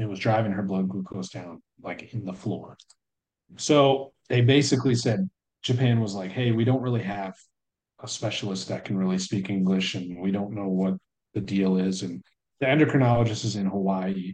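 At a moderate pace, a man speaks in a plain, everyday voice with a fairly low pitch and ordinary pitch variation. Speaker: military service member and father. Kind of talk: casual chat.

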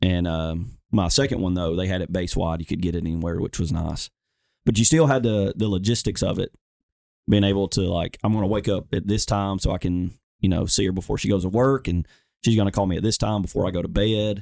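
A man in a Southern US accent, very deep and low in pitch, at a fairly quick pace with ordinary pitch variation. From Alabama, US South. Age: 20s. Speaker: firefighter and veteran. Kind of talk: casual interview chat.

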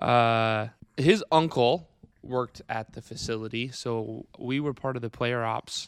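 The man's voice sits at a medium pitch, with fairly even intonation and a fairly slow pace. His loudness swings widely. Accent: Midwestern US. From Iowa, Wright County. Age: 20s. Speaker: grass-fed beef farmer. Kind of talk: casual chat. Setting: recorded on a laptop.

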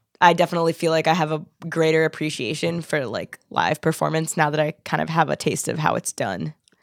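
Recorded dry and close with no echo, a woman with an unremarkable speaking voice and an American accent talks at a fairly quick pace and a fairly low pitch. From Philadelphia suburbs. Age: 20s. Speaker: singer-songwriter. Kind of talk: casual chat.

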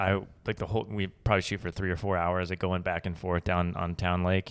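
A man with an American accent, very deep and low in pitch, in a flat monotone, on a very clean recording with a silent background. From Colorado, near Boulder. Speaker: podcast host and videographer. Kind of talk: casual interview chat.

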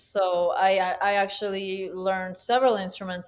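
On a very clean recording with a silent background, a woman with a Spanish accent speaks at a fairly slow pace. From Peru, Huánuco. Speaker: concert pianist and educator. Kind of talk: interview.

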